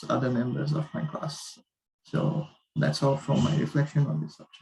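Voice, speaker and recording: A man is speaking. His voice is soft-spoken. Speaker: university student. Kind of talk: class reflection presentation.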